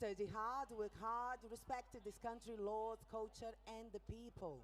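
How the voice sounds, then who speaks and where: A woman with a Brazilian accent speaks at a fairly high pitch with fairly even intonation. Noticeable background noise runs under her voice. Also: fairly slow pace. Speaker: rally speaker. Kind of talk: public speech.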